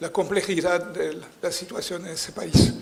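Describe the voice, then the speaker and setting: Over noticeable background noise and audible room echo, a man speaks at a high pitch. His intonation is monotone and flat. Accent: non-native. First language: French (speaking Spanish). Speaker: political scientist, conference speaker. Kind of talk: conference lecture. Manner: halting, many fillers.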